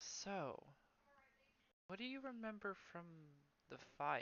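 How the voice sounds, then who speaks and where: Someone performs a put-on character voice. Pitch runs fairly high, and delivery is fairly slow. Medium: actual play.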